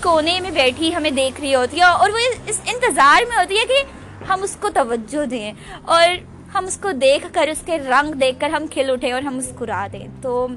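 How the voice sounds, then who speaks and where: Noticeable background noise sits under a woman's high-pitched voice. Her pitch swings very widely. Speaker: podcaster. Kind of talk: casual monologue. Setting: outdoors at roadside bus stop.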